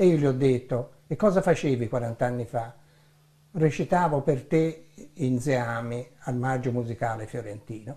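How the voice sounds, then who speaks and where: Somewhat breathy, a man speaks at a fairly slow pace. His tone is dark and mellow, with ordinary pitch variation. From Italy, Florence; Italy. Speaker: theatre director and author. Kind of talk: book presentation. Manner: formal. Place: home room.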